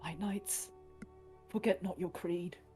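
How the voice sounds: A put-on character voice, female-sounding and medium-pitched for a woman, over clear background music.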